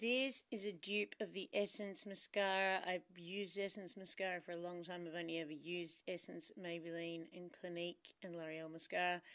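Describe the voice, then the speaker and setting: With an Australian accent, the speaker goes at a moderate pace with fairly even intonation and hardly any pauses against a quiet background. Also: woman, fairly low pitch for a woman. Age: 40s. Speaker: beauty vlogger; beauty haul vlogger. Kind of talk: product review vlog; casual vlog chat. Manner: casual, chatty with fillers. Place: home room. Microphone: phone near.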